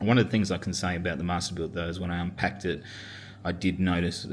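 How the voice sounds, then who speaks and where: Speaking at a very fast pace with an Australian accent, a man has a very deep, low pitch and monotone, flat intonation. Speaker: home barbecue enthusiast. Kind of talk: casual cooking video talk. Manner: hesitant, many fillers.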